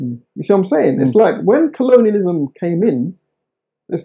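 A man with a southern English accent, a high pitch, a dark, mellow tone and a fairly quick pace. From England, Oxford. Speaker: historian and author. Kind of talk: interview.

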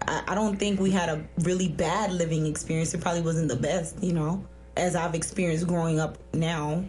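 A woman with an American accent talks at a fairly quick pace with fairly even intonation. Her pitch is fairly low, and there is noticeable background noise. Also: very even loudness. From South Florida, US. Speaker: author.

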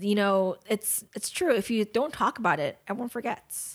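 At a fairly slow pace, a woman with a normal speaking voice talks at medium pitch with ordinary pitch variation, recorded very cleanly against a silent background. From Los Angeles, US. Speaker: true crime podcast co-host. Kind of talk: casual chat, partly reading a story.

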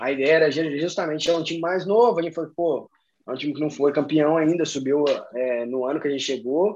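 Against a quiet background, a man with a plain, everyday voice talks at a fairly quick pace, fairly high in pitch, with ordinary pitch variation. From Belo Horizonte, Minas Gerais, Brazil. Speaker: American football player. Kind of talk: casual chat.

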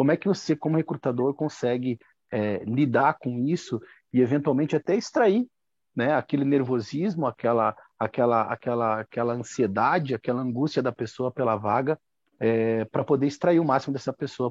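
At a fairly quick pace, a man with a medium-pitched, normal speaking voice and ordinary pitch variation talks. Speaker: audience participant. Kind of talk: question in a live video chat. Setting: video call. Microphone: connected by mobile phone.

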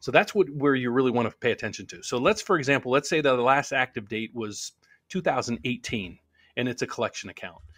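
In a normal speaking voice with an American accent, the speaker goes at a fairly quick pace with lively intonation and big swings in loudness, on a very clean recording with a silent background and a dry, close sound with no echo. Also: man, medium pitch for a man. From US Appalachia, West Virginia northern panhandle near Wheeling. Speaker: loan officer team leader, mortgage YouTuber. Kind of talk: casual live-stream Q&A.

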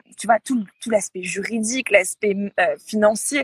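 Somewhat breathy and at medium pitch, a woman talks at a moderate pace with ordinary pitch variation, the sound dry and close with no echo. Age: 30s. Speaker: yoga retreat agency founder. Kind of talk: interview. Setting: Instagram live. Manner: halting, many fillers and repetitions.

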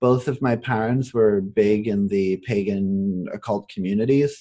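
The background stays quiet. A man talks in a dark, mellow tone. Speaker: astrology podcast host and tarot reader. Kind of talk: casual podcast conversation. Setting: recording in person with Nate, Margaret joins remotely.

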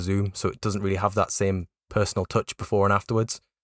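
With a Geordie accent, a man talks very fast in a fairly low voice, recorded very cleanly against a silent background with a dry, close sound and no echo. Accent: north-east English (Geordie). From north-east England, Newcastle area. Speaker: football journalist and podcast host. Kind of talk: casual chat. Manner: halting, many fillers.

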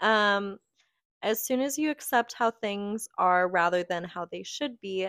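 A woman speaks with a normal speaking voice at a medium pitch, a fairly slow pace and ordinary pitch variation. The recording is very clean, with a silent background and a dry, close sound with no echo. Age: 20s. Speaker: podcast co-host. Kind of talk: casual chat.

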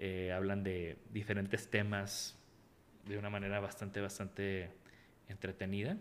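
A man speaks at a fairly low pitch. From Mexico, Tampico. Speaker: industrial designer. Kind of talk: interview.

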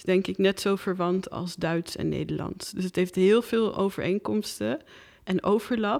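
In an ordinary speaking voice at medium pitch, a woman talks at a fairly slow pace with ordinary pitch variation and big swings in loudness, on a very clean recording with a silent background. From Netherlands. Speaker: filmmaker. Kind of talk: casual chat.

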